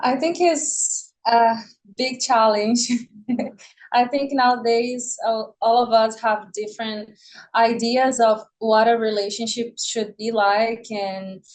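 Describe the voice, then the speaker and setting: Speaking at a very slow pace with a Portuguese accent, the voice keeps a fairly even intonation. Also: woman, fairly high pitch for a woman. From Brazil (Rio de Janeiro). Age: 20s. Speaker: podcast guest. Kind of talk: podcast interview.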